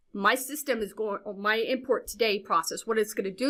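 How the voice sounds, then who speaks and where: At a fairly quick pace, a woman speaks with fairly high pitch and ordinary pitch variation. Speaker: software trainer. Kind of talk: webinar training. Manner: fast.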